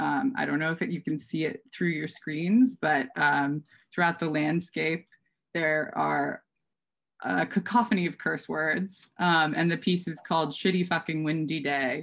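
Speaking fairly slowly with an American accent, a woman uses a very deep, low pitch with ordinary variation and some vocal fry. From US Midwest, Minnesota. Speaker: art curator; art dealer presenting a lecture. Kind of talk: lecture. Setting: video call. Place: home room. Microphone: webcam.

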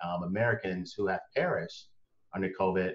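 Over a quiet background, a man with a very deep, low pitch speaks at a fairly quick pace. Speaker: talk show guest. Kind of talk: conversational opinion talk. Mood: earnest, reflective. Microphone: video call.

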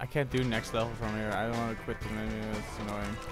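Music plays in the background as a man speaks. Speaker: gaming commentator. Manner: shouting, swearing.

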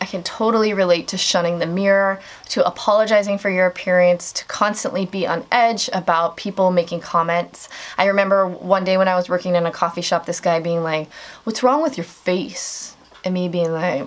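The speaker goes at a fairly quick pace with fairly even intonation. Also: woman. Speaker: beauty vlogger. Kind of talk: casual vlog chat. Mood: relaxed, candid. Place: home room. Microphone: camera far.

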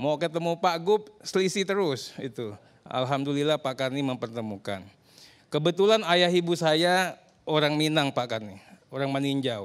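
Over a quiet background, a man talks at a fairly slow pace with a fairly high pitch. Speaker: politician; politician guest on talk show. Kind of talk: talk show panel discussion. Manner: long-winded. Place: studio. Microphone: handheld.

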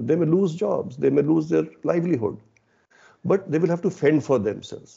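Fairly high-pitched male voice with vocal fry, ordinary pitch variation and a moderate pace, against a quiet background. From India. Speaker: automotive company CEO; panelist. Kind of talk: interview. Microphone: video call.

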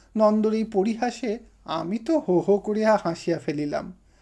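Someone is reading aloud in a natural voice, and the pitch moves in an ordinary way.

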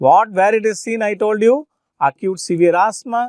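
A man at a moderate pace, his voice dry with no echo, over a quiet background. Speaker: medical teacher. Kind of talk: lecture.

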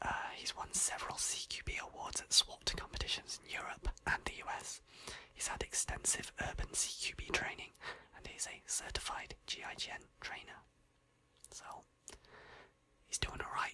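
Whispering with a British accent, a woman goes at a moderate pace with long, frequent pauses. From United Kingdom. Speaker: ASMR creator. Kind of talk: ASMR gaming profile reading. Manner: whispered. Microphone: studio mic.

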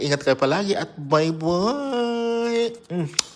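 A man's animated voice with very wide pitch swings over noticeable background noise. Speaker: vlogger. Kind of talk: casual vlog. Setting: at home.

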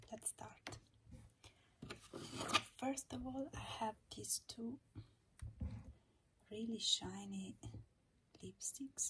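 Over loud background noise, a woman whispers at a very slow pace. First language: not English. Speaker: makeup ASMR creator. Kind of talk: ASMR makeup declutter, casual talk to camera. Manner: whispered. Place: home room.

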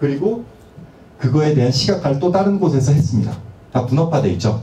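A man with a fairly high pitch makes very wide pitch swings, with audible room echo in the recording. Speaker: university lecturer in digital humanities. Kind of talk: academic lecture. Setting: seminar hall with audience. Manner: formal, explanatory. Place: meeting room. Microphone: pa.

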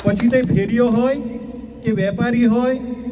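Over noticeable background noise and audible room echo, a man speaks at an extremely high pitch. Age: 60s-70s (around seventy). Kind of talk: public speech at a community meeting.

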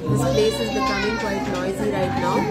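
Loud music plays in the background as a woman speaks. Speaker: food vlogger. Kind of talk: casual vlog chat. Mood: relaxed, warm. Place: cafe. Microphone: phone near.

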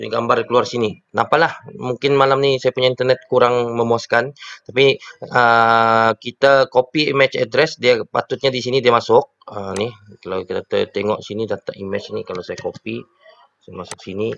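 Heard in a dry, close sound with no echo, a man uses a plain, everyday voice at a moderate pace and medium pitch. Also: ordinary pitch variation. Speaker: teacher. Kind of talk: tutorial. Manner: casual, with many fillers.

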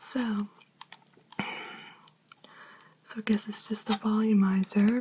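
A soft-spoken woman is whispering. There is light background noise. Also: fairly slow pace. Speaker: ASMR creator. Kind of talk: ASMR unboxing video. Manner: soft-spoken, whispering.

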